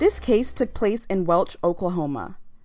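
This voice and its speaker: A woman's normal speaking voice at a moderate pace, lively intonation, very clean recording with a silent background. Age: 20s. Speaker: true crime podcaster. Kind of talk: true crime narration. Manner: casual, conversational.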